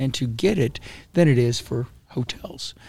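A man with an American accent talks at a very slow pace. His voice is somewhat breathy, with ordinary pitch variation. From Florida. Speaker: county commissioner and politician. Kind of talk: casual interview. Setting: live podcast at a conference. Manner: halting, with frequent repetitions.

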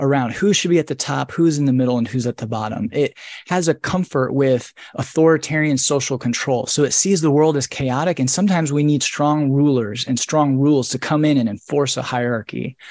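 Speaking with an American accent, a man uses a plain, everyday voice at a fairly high pitch with ordinary pitch variation. He moves at a fairly quick pace, and the sound is dry and close with no echo. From US Midwest, rural northern Indiana. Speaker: author and scholar. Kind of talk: interview on a live video book club. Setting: video call.

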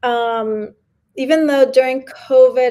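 A woman with a New York accent speaks in a high pitch with a dark, mellow tone, recorded very cleanly against a silent background. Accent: New York American English. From New York City, with early childhood in Mexico. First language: Spanish. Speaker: artist and curator. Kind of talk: interview. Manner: laughs often.

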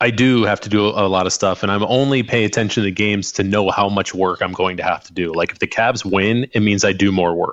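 A man with a Midwestern American accent, fairly low in pitch, fairly quick and even in intonation, with hardly any pauses. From US Midwest, rural western Illinois. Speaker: podcast co-host. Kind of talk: casual chat.

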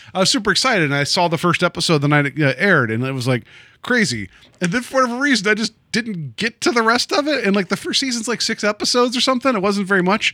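Speaking at a very fast pace in a raised, projected voice, a man with a high pitch swings very widely in pitch on a very clean recording with a silent background and a dry, close sound with no echo. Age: 40s. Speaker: podcast host. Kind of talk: casual chat. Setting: studio.

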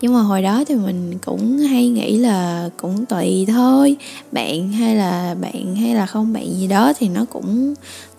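Over noticeable background noise, a woman talks in a fairly high voice with ordinary pitch variation. Her pace is fairly slow, with hardly any pauses. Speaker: YouTuber hosting a talk radio segment. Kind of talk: casual monologue sharing life advice.

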